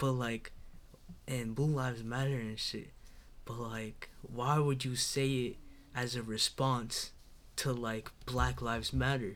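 Very slow speech from a man at a medium pitch carries audible room echo. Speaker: recent high school graduate. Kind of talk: casual chat.

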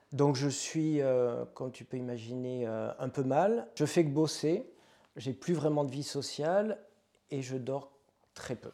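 A man with a southwestern French accent speaks very slowly, his pitch fairly high with ordinary variation and his tone dark and mellow. His loudness swings widely. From southwest France, Pau. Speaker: yoga and meditation teacher. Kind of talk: casual interview.

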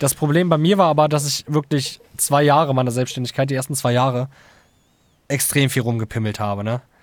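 Using a plain, everyday voice, a man speaks at a fairly quick pace and fairly high pitch with ordinary pitch variation. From Lower Saxony, Germany (Hildesheim). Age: 20s. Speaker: audio engineer and beat producer. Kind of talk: casual chat.

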